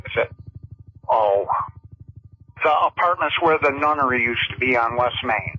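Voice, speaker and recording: Moderate pace in an upstate New York accent, with long, frequent pauses and music playing behind. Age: 60s. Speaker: caller. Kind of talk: call-in radio complaint.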